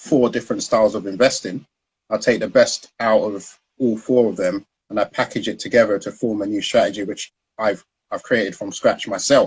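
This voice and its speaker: The speaker talks at a moderate pace with a South London accent. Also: man. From South London, Peckham. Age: 30s. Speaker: founder of a stock trading education business, former trader. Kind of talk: interview on Instagram live. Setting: online live video stream.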